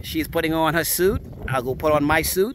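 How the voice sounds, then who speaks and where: A man talks at a moderate pace with ordinary pitch variation, the sound dry with no echo and some light background noise. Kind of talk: casual vlog chat. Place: open country. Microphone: phone near.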